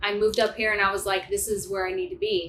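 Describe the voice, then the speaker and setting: Bright and sharp in tone, a woman with an American accent speaks with ordinary pitch variation. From US Midwest, St. Louis, Missouri. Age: 40s. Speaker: nurse practitioner. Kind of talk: casual interview chat.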